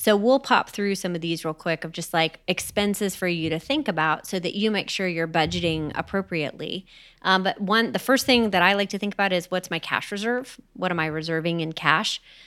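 A woman talks at a fairly quick pace. She leaves hardly any pauses. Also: medium pitch for a woman, ordinary pitch variation. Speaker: podcast co-host and real estate investor. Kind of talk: casual conversational podcast discussion. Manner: animated, talkative, storytelling.

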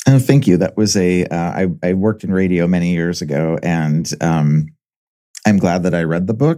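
This man has a very deep, low pitch and a dark, mellow tone, with an American accent. He talks at a moderate pace with ordinary pitch variation. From Southern California. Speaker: author and academic. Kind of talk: interview answering questions.

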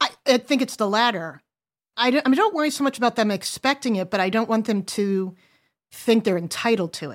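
In a very clean recording with a silent background, a woman with a normal speaking voice talks at a fairly quick pace, her fairly high pitch carried by lively intonation. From US Northeast. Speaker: adult daughter sharing family money story. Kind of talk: casual chat.

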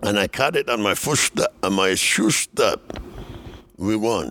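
With noticeable background noise and a dry, close sound with no echo, a man speaks fairly slowly with very wide pitch swings. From Dominican Republic. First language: Spanish. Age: 70s. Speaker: former baseball player. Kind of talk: casual interview, storytelling. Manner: animated, laughs often.

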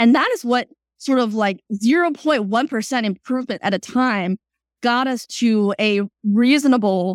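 The recording sound is dry and close, with no echo. A woman talks at a fairly high pitch and a moderate pace, with ordinary pitch variation. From China, then South Florida from age 12. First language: Chinese. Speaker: startup CEO. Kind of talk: interview.

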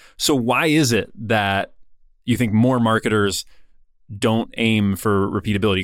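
Male voice, medium in pitch, with pitch shifting in an ordinary way. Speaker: podcast producer. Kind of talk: casual podcast conversation. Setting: remote call.

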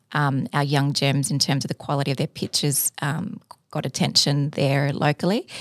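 A woman with an Australian accent, very deep and low in pitch, with ordinary pitch variation, at a moderate pace, in a dry, close sound with no echo and a very clean recording against a silent background. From Sydney, Australia. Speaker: entrepreneur. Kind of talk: interview.

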